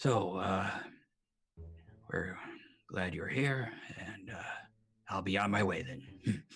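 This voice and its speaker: In a put-on character voice, a raspy man with a fairly low pitch talks at a very slow pace, leaving long, frequent pauses. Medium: actual play. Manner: polite, measured.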